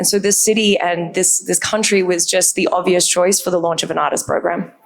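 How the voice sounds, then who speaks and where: Over noticeable background noise, a woman with an Australian accent talks at a fairly quick pace in a medium pitch with monotone, flat intonation. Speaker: brand communications executive. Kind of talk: panel discussion.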